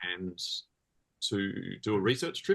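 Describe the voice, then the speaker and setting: A fairly low-pitched man with an Australian accent. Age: 40s. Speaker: comics creator and musician. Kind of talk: interview conversation. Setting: podcast interview.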